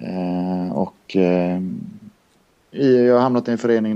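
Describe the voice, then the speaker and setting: A man's very deep, low voice, very slow, with fairly even intonation and a dark, mellow tone. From Linköping, Östergötland, then Kungsbacka area near Gothenburg from age nine. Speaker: handball coach, former player. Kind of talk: casual chat.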